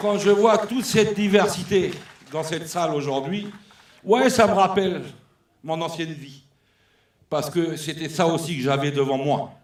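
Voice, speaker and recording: A man's high-pitched voice, fairly slow, with long and frequent pauses, ordinary pitch variation, big swings in loudness and audible room echo. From New Caledonia. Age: 60s. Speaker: former trade union leader. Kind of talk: speech at a political congress. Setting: hall with audience. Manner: unscripted, emotional and animated.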